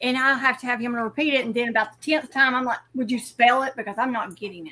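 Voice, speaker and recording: A woman's high-pitched voice in a Southern US accent. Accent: Southern US drawl. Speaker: amateur radio operator. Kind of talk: casual chat.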